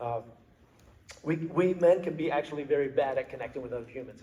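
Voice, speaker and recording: The man speaks at a fairly quick pace. He has an unremarkable speaking voice. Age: 50s. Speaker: motivational speaker, former cop and athlete. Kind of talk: talk to a men's group. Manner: frequent fillers and repetitions.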